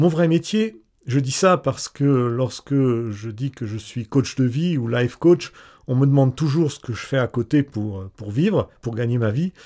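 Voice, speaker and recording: Fairly slow, lively speech from a man with a dark, mellow tone and medium pitch, on a very clean recording with a silent background. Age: 40s. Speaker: life coach. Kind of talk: scripted narration.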